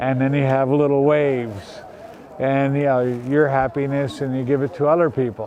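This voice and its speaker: Speaking at a moderate pace, a man with an American accent has a fairly high pitch and fairly even intonation over noticeable background noise. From United States. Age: 60s. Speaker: retired street volunteer. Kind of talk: interview.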